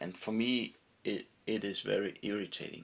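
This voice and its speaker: A man with a fairly low voice takes his time, talking at a fairly slow pace. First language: not English. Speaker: fly tyer presenting own product. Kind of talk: product tutorial. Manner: halting.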